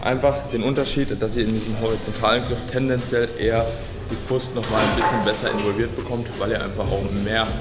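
Clear music in the background behind a man speaking. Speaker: fitness coach. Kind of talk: tutorial. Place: gym.

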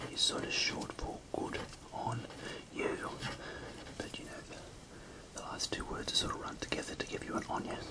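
Someone whispers in a soft-spoken way at a moderate pace, with noticeable background noise. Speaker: teacher of slang words. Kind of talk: tutorial. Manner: soft whispered explanation, Australian accent. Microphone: phone near.

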